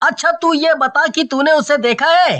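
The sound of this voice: Putting on a cartoonish character voice, a woman speaks high at a moderate pace.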